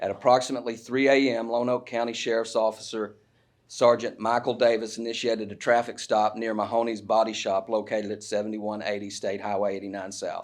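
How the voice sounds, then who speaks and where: A man talks at a fairly quick pace and medium pitch. His intonation is monotone and flat against a quiet background. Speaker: prosecuting attorney. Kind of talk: reading aloud an affidavit; news conference statement. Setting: press conference at courthouse.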